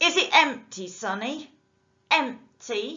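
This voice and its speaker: In a put-on character voice, a woman projects a raised, wheezy, high voice at a very slow pace, her pitch swinging very widely. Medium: read story. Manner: mocking, bullying.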